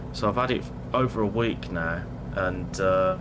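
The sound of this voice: Speaking at a fairly slow pace, a man uses a low pitch. His pitch variation is ordinary.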